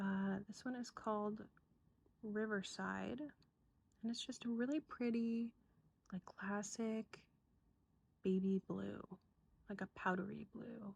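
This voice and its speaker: A soft-spoken, somewhat breathy voice at a very slow pace, with long, frequent pauses. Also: woman, medium pitch for a woman, fairly even intonation. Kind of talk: ASMR show-and-tell, soft-spoken rambling to camera. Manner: soft-spoken, rambling, casual.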